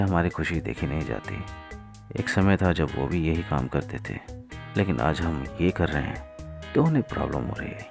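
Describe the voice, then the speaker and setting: Over music in the background, a man talks with lively intonation at a very deep, low pitch. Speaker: voiceover artist. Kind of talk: social message narration.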